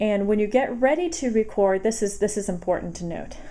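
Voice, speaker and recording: A woman speaks with lively intonation and a dark, mellow tone. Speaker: tutorial presenter. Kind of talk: tutorial. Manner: halting.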